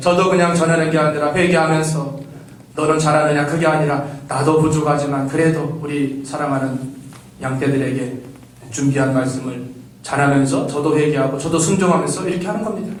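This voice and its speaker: A man's fairly high voice at a fairly quick pace, fairly even in intonation, with audible room echo and noticeable background noise. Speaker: pastor. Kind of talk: sermon. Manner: fast; articulate.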